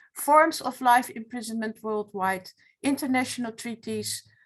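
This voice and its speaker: A woman speaks at a moderate pace with a Dutch accent. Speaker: retired law professor, foundation president. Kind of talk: webinar presentation. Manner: halting.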